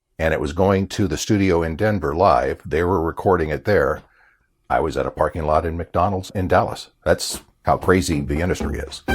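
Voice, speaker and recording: A man's very deep, low, somewhat breathy voice at a moderate pace, with ordinary pitch variation, on a very clean recording with a silent background. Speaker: voiceover artist and former radio announcer. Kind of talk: interview answer. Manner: casual, self-deprecating.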